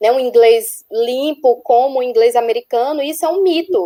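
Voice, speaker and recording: Dry and close with no echo, a woman's high-pitched voice carries a dark, mellow tone, moderate pace and ordinary pitch variation. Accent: strong northeastern Brazilian. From Northeast Brazil. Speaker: nurse researcher abroad. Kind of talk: webinar panel talk. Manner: halting.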